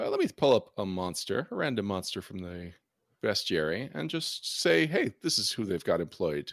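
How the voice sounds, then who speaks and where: The recording is very clean and the background silent. A man talks at a moderate pace. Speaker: game master. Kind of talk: tabletop role-playing game session.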